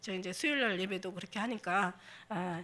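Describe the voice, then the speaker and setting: Fairly even intonation marks a woman's very fast delivery. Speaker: pastor. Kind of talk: sermon. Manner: halting, many fillers.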